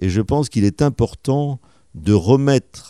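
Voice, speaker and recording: A man speaks in a dark, mellow tone with lively intonation. The recording is very clean with a silent background and a dry, close sound with no echo. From southwest France, Médoc and Bordeaux. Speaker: mayor and dentist. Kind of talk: radio interview. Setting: town hall office.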